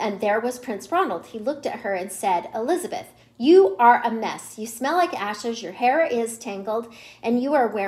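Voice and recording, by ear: A natural voice reading aloud, with lively intonation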